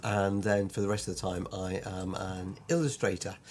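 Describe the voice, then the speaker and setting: A man talks at a moderate speed, and his pitch varies in an ordinary way. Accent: British. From Lancashire, northern England. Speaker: illustrator and part-time vicar. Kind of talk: online course introduction. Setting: home drawing room, recorded video. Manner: hesitant, many fillers; quirky, sometimes puts on voices.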